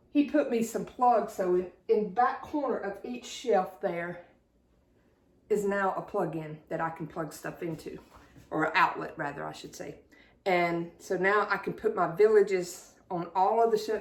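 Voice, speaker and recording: Speaking with a Southern US accent, a woman uses lively intonation. Her pitch is medium. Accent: southern drawl. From South Carolina. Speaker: YouTuber showing thrift finds. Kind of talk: casual haul video. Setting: at home, dining room.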